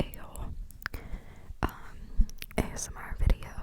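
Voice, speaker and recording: Noticeable background noise sits under a whisper delivered at a very slow pace. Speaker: ASMR creator. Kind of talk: ASMR reading of online forum posts. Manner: whispered.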